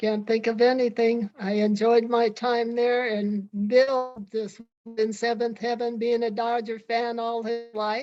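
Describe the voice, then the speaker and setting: A woman's fairly high voice, monotone and flat, at a fairly slow pace over background music. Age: 80s+. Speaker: retired stadium organist. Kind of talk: casual interview.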